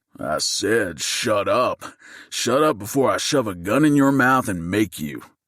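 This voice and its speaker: A put-on, growling character voice from a man, medium in pitch, at a moderate pace. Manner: booming; threatening.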